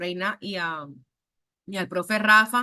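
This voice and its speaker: A woman with a Caribbean Colombian accent speaks in an animated way, her bright, sharp tone carrying ordinary pitch variation. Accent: Caribbean Colombian (costeño). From Colombian Caribbean coast, Montería, Córdoba. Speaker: university lecturer. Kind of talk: online class lecture. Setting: video call.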